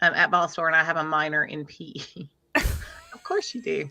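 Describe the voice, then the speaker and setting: A woman in a Middle Tennessee accent, bright, sharp in tone, at a moderate pace. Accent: Southern US (Middle Tennessee), fairly strong. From Middle Tennessee, US South. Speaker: livestream host. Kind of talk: casual live stream chat.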